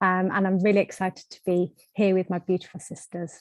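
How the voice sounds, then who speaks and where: Heard in a dry, close sound with no echo and a quiet background, the speaker has a British accent. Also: woman. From UK. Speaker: energy healing practitioner. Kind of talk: panel discussion.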